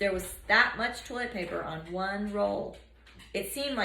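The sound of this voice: The reading voice sounds unforced. Its intonation moves in a lively way.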